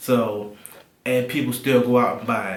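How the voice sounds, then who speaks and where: In a room with audible echo, a man talks at a moderate pace with a medium pitch and flat, monotone intonation. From Alabama. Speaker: tech and gaming YouTuber. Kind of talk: casual to-camera vlog.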